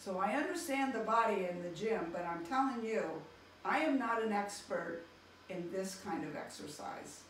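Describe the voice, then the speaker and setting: Lively intonation marks a woman speaking at a moderate pace, with light background noise and audible room echo. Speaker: physical therapist. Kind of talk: testimonial interview answer. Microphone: camera far.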